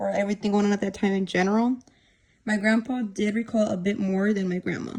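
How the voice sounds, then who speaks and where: Somewhat breathy and at a medium pitch, a woman speaks with monotone, flat intonation. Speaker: student interviewer. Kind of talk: casual talk to camera.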